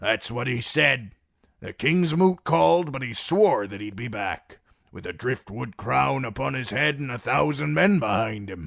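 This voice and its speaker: A man puts on a raspy character voice at medium pitch and a moderate pace. Both his pitch and his loudness swing widely. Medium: read story. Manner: blunt, practical.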